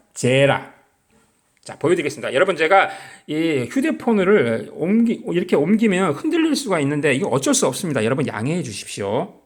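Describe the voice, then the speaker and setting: Audible room echo surrounds a man speaking with a high pitch. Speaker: lay preacher on video channel. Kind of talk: sermon-style bible teaching. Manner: halting.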